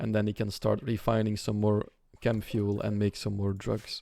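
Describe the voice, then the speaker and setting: Dark and mellow in tone, a man's fairly low voice moves at a moderate pace. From Belgium. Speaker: video game streamer. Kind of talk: live gameplay commentary. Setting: live stream. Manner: casual, with many fillers.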